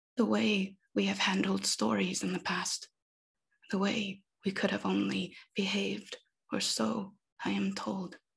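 Fairly slow speech with vocal fry, very wide pitch swings, and long, frequent pauses against a quiet background. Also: woman, fairly low pitch for a woman. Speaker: poet. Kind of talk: poetry reading. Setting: video call. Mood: quiet, reflective. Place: home room. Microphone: earbuds.

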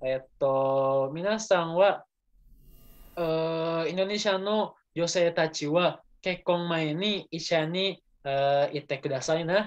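Against a quiet background, someone speaks at a very slow pace in an Indonesian accent. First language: Indonesian (speaking Japanese). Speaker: student. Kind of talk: class presentation. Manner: halting. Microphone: video call.

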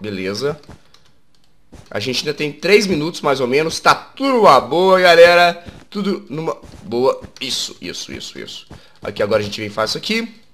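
Animated and fairly high-pitched, a man talks at a moderate pace with long, frequent pauses, big swings in loudness and very wide pitch swings. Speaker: gaming YouTuber. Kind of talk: gameplay commentary. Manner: casual, animated.

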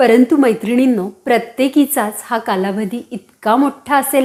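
A woman speaks with a warm tone that is also dark and mellow. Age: 40s. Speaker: women's health YouTuber. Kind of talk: informational talk to camera. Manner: warm, direct address.

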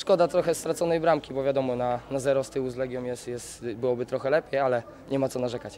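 At a very fast pace, a man speaks at a medium pitch over light background noise. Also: fairly even intonation. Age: 20s. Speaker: footballer. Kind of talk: post-match interview. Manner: halting, repetitive. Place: stadium. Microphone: handheld.

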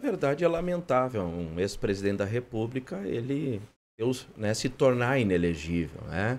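A man speaks at a medium pitch. His voice moves in very wide pitch swings. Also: moderate pace. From Rio Grande do Sul, Brazil. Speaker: mayor. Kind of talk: broadcast interview. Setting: studio. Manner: halting. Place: studio. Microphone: studio mic.

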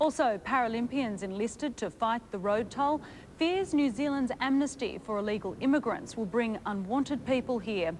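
A woman with an Australian accent uses lively intonation over light background noise. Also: moderate pace. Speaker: television news presenter. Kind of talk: news reading. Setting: studio. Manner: formal. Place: studio. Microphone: lapel.

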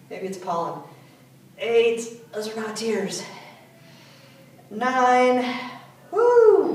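In a room with audible echo, a woman speaks at a high pitch and a very slow pace. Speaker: fitness instructor. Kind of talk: workout instruction with counting. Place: gym. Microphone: camera far.

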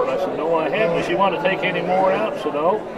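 Loud background noise sits behind a man speaking with ordinary pitch variation. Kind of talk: interview answer. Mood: nostalgic, emotional at times. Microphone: phone near.

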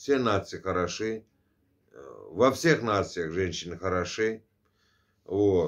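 A man speaks at a very slow pace, his pitch fairly low. The background is quiet. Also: ordinary pitch variation. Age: 50s. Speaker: vlogger; vlogger answering a subscriber. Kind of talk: casual monologue. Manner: conversational, filler-heavy. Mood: earnest, opinionated. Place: home room. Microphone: phone near.

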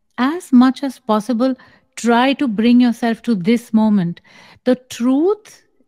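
Against a quiet background, a woman talks at a fairly slow pace. Her tone is dark and mellow. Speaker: spiritual teacher. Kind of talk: spiritual guidance answer. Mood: calm, measured, slow. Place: home room. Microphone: studio mic.

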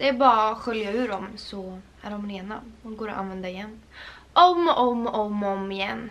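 A woman speaks at a fairly high pitch with ordinary pitch variation. Her loudness swings widely. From Sweden. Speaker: lifestyle vlogger. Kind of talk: casual vlog chat. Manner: animated. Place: home room. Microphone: camera far.

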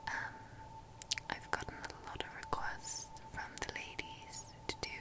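The speaker is a woman, whispering. Her pace is very slow. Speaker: video creator. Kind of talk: soft casual show-and-tell chat. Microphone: webcam.

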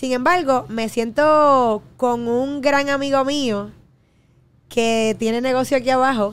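Very slow delivery with fairly even intonation. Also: woman, high pitch for a woman. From Puerto Rico, Trujillo Alto; Puerto Rico. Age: 30s. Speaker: fitness enthusiast and media personality; podcast guest. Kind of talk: casual chat. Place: studio. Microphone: studio mic.

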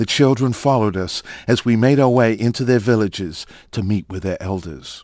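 In a solemn tone, a man speaks at a moderate pace with a medium pitch and ordinary pitch variation. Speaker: documentary narrator. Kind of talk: scripted documentary narration, turning solemn in a prayer for the fallen. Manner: solemn, reverent, measured; formal, dramatic.

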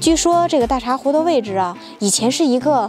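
Moderate pace over faint background music, with a dry sound and no echo. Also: woman. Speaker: travel vlog host. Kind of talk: travel guide commentary. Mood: cheerful, storytelling. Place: open country. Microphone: lapel.

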